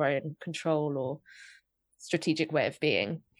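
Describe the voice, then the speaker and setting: A woman speaks in a London accent. The recording is very clean, with a silent background. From England, North London. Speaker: podcast co-host and writer. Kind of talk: casual chat.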